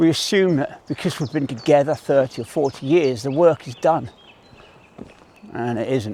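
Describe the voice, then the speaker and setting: A man speaks at a fairly slow pace. His pitch is fairly high, with ordinary variation. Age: 60s. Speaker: army veteran. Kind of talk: motivational talk to camera while walking. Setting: outdoors.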